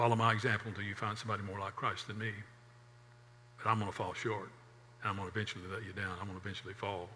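A man talks very fast in a fairly low, monotone, flat voice, with long, frequent pauses. Audible room echo surrounds the speech. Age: 60s. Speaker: pastor. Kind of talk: sermon.

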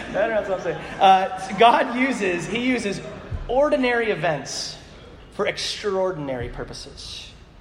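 Speech with lively intonation moves at a moderate pace amid noticeable background noise and audible room echo. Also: man, high pitch for a man. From Alaska. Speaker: pastor. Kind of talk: sermon. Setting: church with congregation. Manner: animated.

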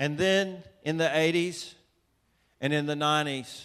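At a fairly slow pace, a man talks with a Southern US accent. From US South, Atlanta, Georgia. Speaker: preacher, author. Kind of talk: sermon. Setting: church with audience.

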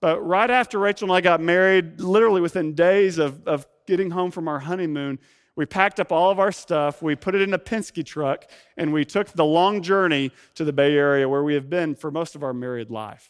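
Over a quiet background, a man with an Arkansas accent speaks at a moderate pace in a high voice with ordinary pitch variation, the sound dry and close with no echo. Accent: Southern US (Arkansas). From US South, Ozark Mountains of Northwest Arkansas. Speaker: pastor. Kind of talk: sermon. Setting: church.

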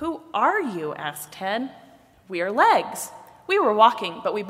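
What you hear is plain reading aloud.

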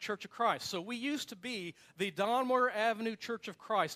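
A man with an American accent talks at a fairly quick pace in an animated tone, recorded very cleanly against a silent background with a dry, close sound and no echo. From US Midwest, South Bend, Indiana. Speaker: pastor. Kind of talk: sermon. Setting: church. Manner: fast.

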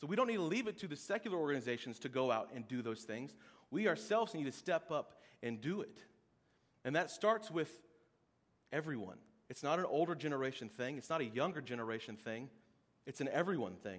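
A man with an American accent, a fairly high pitch, very wide pitch swings, a very fast pace and long, frequent pauses. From Oklahoma. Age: 30s. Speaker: pastor. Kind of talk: sermon. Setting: church.

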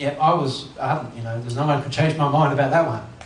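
Noticeable background noise sits behind this voice. A man speaks at a fairly high pitch with ordinary pitch variation. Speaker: pastor. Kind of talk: sermon. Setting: church. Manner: fast.

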